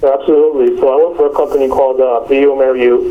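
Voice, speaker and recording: Talking at a fairly quick pace with a New Jersey accent, a man is heard over noticeable background noise. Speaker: medical company marketing manager. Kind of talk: interview.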